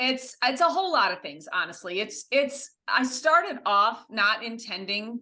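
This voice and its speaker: A woman with an American accent, bright and sharp in tone, at a moderate pace with ordinary pitch variation. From US Midwest, Ohio near Windsor. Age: 50s. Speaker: social media content creator. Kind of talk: podcast interview.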